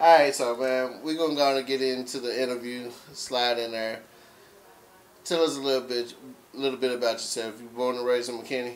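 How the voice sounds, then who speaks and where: Speaking at a fairly quick pace with an American accent, a man keeps a medium pitch and a monotone, flat intonation. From Texas. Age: 30s. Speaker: interview host. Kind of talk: interview. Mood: calm, curious. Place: home room.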